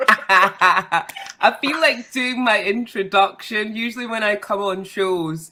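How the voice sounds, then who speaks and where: A woman speaks with a Scottish accent in a bright, sharp tone. The recording is very clean, with a silent background. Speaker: model, actress and broadcaster. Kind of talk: casual chat.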